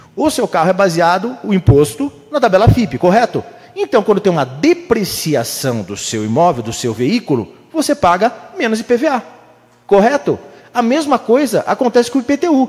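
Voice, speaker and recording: Noticeable background noise sits behind a man speaking at a moderate pace. His pitch is high and swings very widely. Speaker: city councillor. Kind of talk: council floor speech. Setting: municipal council chamber. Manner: animated.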